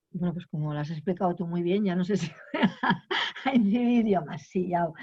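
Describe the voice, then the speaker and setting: Here a woman speaks with a fairly low pitch at a moderate pace. Her pitch varies in an ordinary way. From Aragon, Spain (Binéfar, Huesca). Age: 60s. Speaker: feminist activist. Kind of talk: interview. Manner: halting, many repetitions and fillers.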